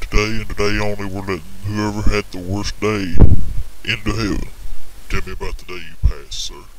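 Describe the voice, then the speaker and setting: A man performs a cartoonish character voice at a fairly quick pace. Long, frequent pauses break up his lines, and background noise is clearly heard. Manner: formal, polite.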